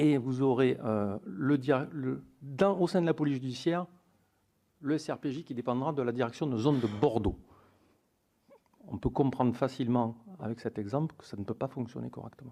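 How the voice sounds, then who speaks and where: With a Toulouse accent, a man speaks at a medium pitch in a dark, mellow tone, with ordinary pitch variation. His pace is moderate, broken by long, frequent pauses, and his loudness swings a lot. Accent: southern French (Toulouse). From southern France, Toulouse area. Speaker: police union representative. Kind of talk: testimony before a parliamentary committee. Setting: hearing room with microphones. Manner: formal.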